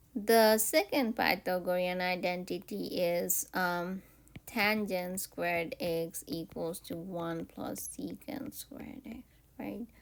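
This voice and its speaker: At a very slow pace, a woman of medium pitch speaks with ordinary pitch variation and big swings in loudness. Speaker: math teacher. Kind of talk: lecture. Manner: hesitant, many fillers.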